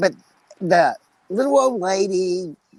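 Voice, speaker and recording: The speech comes at a very slow pace. It is delivered with a West Texas accent. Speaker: podcast host. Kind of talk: casual chat.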